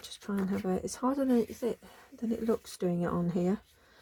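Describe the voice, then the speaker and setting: Noticeable background noise accompanies a woman talking with fairly even intonation at a medium pitch. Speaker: craft channel host. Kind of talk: craft tutorial. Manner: hesitant, many ums.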